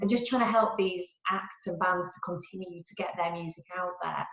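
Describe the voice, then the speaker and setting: Someone speaks with a Yorkshire accent at a fairly quick pace. Noticeable background noise runs underneath. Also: woman. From Yorkshire, England. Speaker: marketing executive. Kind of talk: interview answer.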